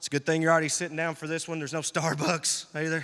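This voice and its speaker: A man with a fairly high pitch speaks in an animated tone. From US South, rural Tennessee. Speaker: comedian. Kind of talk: stand-up. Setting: stage with audience.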